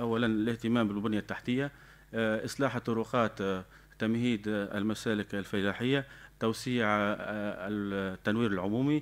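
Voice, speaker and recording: A man with a Tunisian Sahel accent speaks in a fairly low voice. His intonation is fairly even and his loudness very even. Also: fairly slow pace. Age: 30s. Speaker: local election candidate; election candidate. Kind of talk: campaign statement. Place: studio. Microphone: studio mic.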